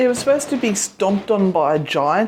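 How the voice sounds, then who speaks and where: Lively intonation from a woman amid noticeable background noise. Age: old. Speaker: ghost hunter. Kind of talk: casual talk to camera.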